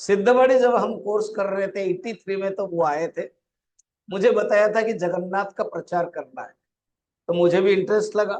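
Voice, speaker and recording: This man has a high pitch and fairly even intonation. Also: moderate pace. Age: 60s. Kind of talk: religious discourse. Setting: temple hall with live audience.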